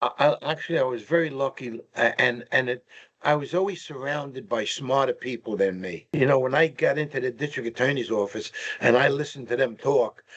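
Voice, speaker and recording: Talking at a fairly quick pace with a New York accent, a man shows ordinary pitch variation. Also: medium pitch for a man. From New York (Brooklyn). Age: 80s+. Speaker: retired police commissioner. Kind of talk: interview storytelling. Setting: podcast recording.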